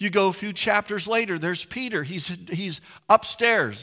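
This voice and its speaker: A man with an American accent speaks in a raised, projected voice at a moderate pace. His pitch is high and his tone bright and sharp. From West Virginia. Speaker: pastor. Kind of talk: sermon. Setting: church. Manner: repeats words when starting sentences.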